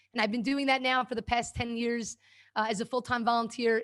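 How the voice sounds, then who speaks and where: A woman with a fairly high pitch at a fairly quick pace, against a quiet background. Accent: New York. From New York City (Brooklyn). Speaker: kindness activist and former teacher. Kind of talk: interview conversation.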